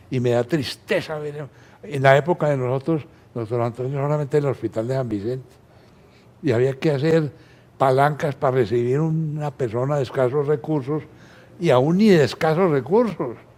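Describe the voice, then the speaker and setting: Speaking at a moderate pace, a man with a medium-pitched voice and a dark, mellow tone uses ordinary pitch variation. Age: 80s+. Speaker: physician, ophthalmologist. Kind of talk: interview.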